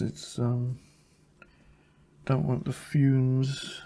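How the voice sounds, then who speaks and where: A man's somewhat breathy, dark, mellow voice at a medium pitch, very slow, with an American accent. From Caribbean, British parents. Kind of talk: tutorial. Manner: casual, thinking aloud.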